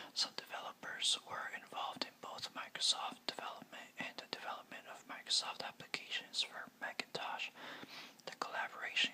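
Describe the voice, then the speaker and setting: Whispering amid noticeable background noise, at a moderate pace. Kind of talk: whispered ASMR biography narration. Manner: whispered.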